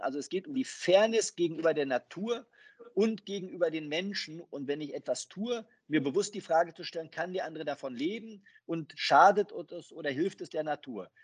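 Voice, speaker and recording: This is a man speaking. His voice is high-pitched. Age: 40s. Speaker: banker. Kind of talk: interview.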